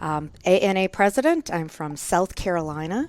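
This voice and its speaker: A woman in a Minnesota accent. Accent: Minnesotan, Scandinavian-tinged. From US Upper Midwest, Minnesota. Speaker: nurse anesthetist, guest co-host. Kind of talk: podcast interview. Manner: fast.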